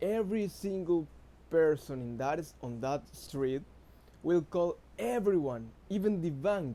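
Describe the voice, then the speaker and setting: With lively intonation, a man speaks at a fairly high pitch in a dark, mellow tone. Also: fairly slow pace. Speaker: marketing coach. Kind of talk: tutorial. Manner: halting.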